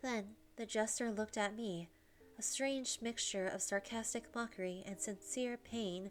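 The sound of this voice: The voice is an unforced reading voice.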